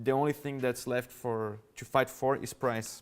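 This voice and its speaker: A man with a Brazilian Portuguese accent, medium pitch, moderate pace and monotone, flat intonation. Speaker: revenue management executive. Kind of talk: conference talk. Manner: halting.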